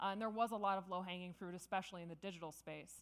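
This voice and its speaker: A woman's medium-pitched voice with ordinary pitch variation. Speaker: conference speaker. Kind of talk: conference talk. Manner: fast.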